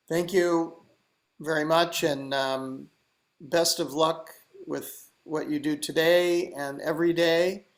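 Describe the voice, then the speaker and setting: This man's voice sits fairly high in pitch. He speaks very slowly in a flat monotone. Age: 70s. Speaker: environmental organization founder. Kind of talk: video call talk to youth event.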